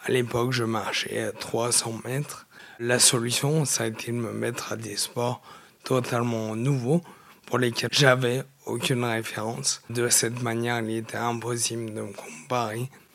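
This man talks fairly slowly, with a medium pitch. His intonation remains fairly even. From France, Nord-Isère near Lyon. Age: 20s. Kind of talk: interview testimony. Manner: halting, repeats words.

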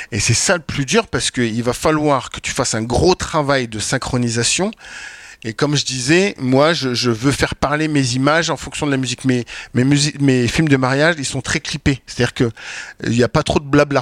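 The sound is dry and close, with no echo. A man with an ordinary speaking voice talks at a moderate pace in a medium pitch with ordinary pitch variation. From France, Champagne-Ardenne. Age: 40s. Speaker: wedding filmmaker. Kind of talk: panel discussion. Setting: stage with audience.

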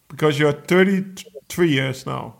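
Slowly and with vocal fry, a man talks at a fairly high pitch. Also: ordinary pitch variation.

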